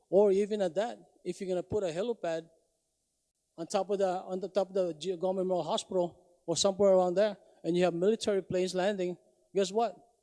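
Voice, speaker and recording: At a very fast pace yet with long, frequent pauses, a man with a non-native accent talks in a high, dark, mellow voice that stays monotone and flat, recorded dry and close with no echo. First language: not English. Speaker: public hearing testifier. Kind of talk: public testimony. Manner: halting.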